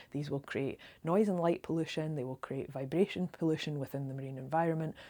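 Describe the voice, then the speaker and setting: On a very clean recording with a silent background, a woman talks fairly quickly in a very deep, low voice with ordinary pitch variation. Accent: Scottish. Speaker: local campaigner. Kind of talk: direct-to-camera appeal. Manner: fast; earnest, many filler ums.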